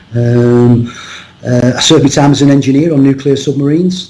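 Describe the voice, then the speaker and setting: Noticeable background noise behind a man speaking with fairly even intonation. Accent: Cumbrian. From northern England, Cumbria. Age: 60s. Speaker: rugby coach and lecturer. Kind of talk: podcast interview. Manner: halting, many fillers and repeats.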